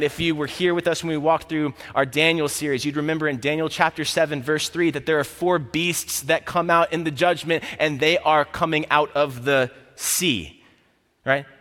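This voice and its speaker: A man with an American accent talks at a moderate pace. His pitch is fairly high and his intonation fairly even, with noticeable background noise. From Florida, US South. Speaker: campus ministry staff preaching. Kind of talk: sermon. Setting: church service.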